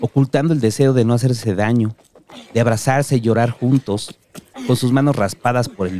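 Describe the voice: The voice is reading aloud. The reading is plain.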